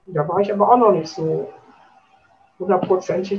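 A woman's voice comes across somewhat breathy, with ordinary pitch variation. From Schwerte, Ruhr area, Germany. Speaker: chair of hospice volunteer association. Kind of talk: interview.

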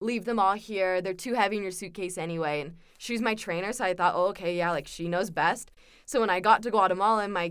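Talking at a moderate pace, a woman has a West Coast American accent. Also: very clean recording, silent background. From Southern California. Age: 20s. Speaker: university student, returned missionary. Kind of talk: casual interview.

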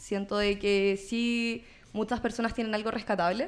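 A woman's voice with fairly even intonation, music in the background. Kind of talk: political talk show interview.

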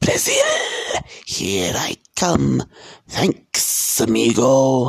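A man uses a raspy, hissing put-on character voice. It sits at medium pitch and moves at a very slow pace. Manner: cheerful, grateful.

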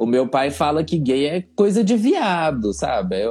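A man's dark, mellow tone at fairly high pitch, with very wide pitch swings and a fairly slow pace. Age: 20s. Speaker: teacher. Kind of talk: casual interview.

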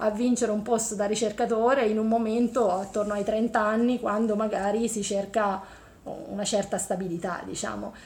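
A woman's somewhat breathy, fairly high voice at a moderate pace, with fairly even intonation. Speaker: engineering professor. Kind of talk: interview.

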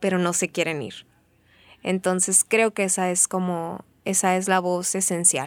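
At a fairly slow pace, a woman talks in an ordinary speaking voice at medium pitch, the sound dry and close with no echo. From Mexico, Sonora (Benjamin Hill). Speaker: theatre performer. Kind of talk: interview storytelling.

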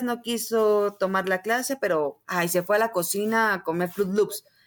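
A woman with a plain, everyday voice at a moderate pace, ordinary pitch variation, and a very clean recording with a silent background. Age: 30s. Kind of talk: interview conversation.

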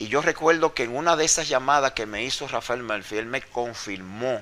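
This man has a bright, sharp tone and a medium pitch. He speaks at a moderate pace with lively intonation. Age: 50s. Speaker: former wrestler. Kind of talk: interview.

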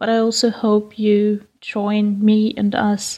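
A woman's fairly high voice comes across somewhat breathy, with a dark, mellow tone. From Austria. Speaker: university student. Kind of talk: personal reflection with poetry.

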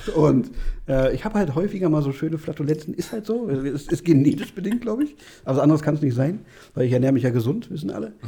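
A man speaks at a very fast pace with a fairly high pitch. His tone is dark and mellow, and somewhat breathy. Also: lively intonation. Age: 30s. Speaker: podcast host. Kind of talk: casual chat.

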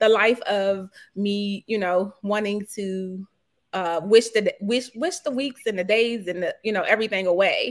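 On a very clean recording with a silent background, a woman with an American accent talks fairly slowly at a medium pitch with fairly even intonation. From Washington, D.C. (Petworth). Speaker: realtor. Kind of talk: interview.

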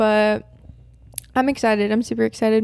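A woman has an unremarkable speaking voice, fairly high in pitch with fairly even intonation. She talks at a moderate pace on a very clean recording with a silent background. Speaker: college student. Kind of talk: casual chat.

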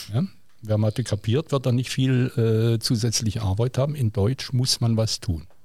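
A somewhat breathy man speaks at a moderate pace with ordinary pitch variation, recorded very cleanly against a silent background. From southwest Germany, Villingen (Baden-Württemberg). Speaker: teacher. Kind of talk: casual interview.

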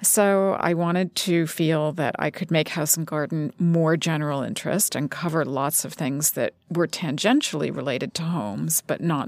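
There is vocal fry in this woman's fairly low-pitched voice as she speaks at a moderate pace. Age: 50s. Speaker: magazine editor and author. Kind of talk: interview. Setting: studio.

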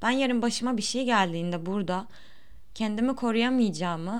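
Audible room echo surrounds a woman with a fairly high pitch and ordinary pitch variation. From Turkey. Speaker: podcaster. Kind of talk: unscripted monologue. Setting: home recording.

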